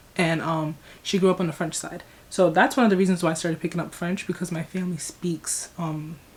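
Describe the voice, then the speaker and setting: A woman's somewhat breathy voice with an American accent, fairly quick and monotone, flat in intonation. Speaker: YouTuber. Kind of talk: casual vlog reaction. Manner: rambling, long-winded.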